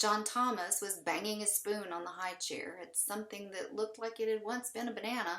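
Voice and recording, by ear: The text is read aloud. The voice used is natural.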